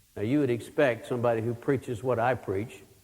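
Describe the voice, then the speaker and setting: Moderate pace and ordinary pitch variation in a Texan accent, with audible room echo. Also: man. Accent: Texan Southern US. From Texas. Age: 60s. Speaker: pastor. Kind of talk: sermon.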